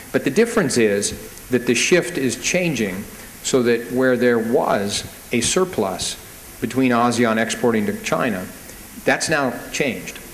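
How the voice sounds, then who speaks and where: Speaking at a fairly slow pace with an American accent, this voice has lively intonation and very even loudness, with audible room echo and noticeable background noise. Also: man, medium pitch for a man. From United States. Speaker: banker, panel speaker. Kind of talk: panel talk at business conference.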